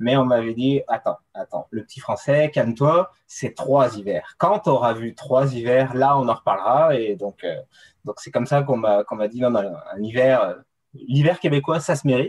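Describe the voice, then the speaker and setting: A somewhat breathy man speaks at a moderate pace and medium pitch, with ordinary pitch variation and big swings in loudness. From France, coastal region. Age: 30s. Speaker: mountain runner and ski mountaineering athlete. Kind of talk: casual interview. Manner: halting, many fillers and repetitions.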